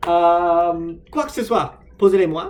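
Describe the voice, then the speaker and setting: High male voice, ordinary pitch variation. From United States. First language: English (speaking French). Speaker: vlogger, language learner. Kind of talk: casual vlog monologue. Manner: halting, many hesitations.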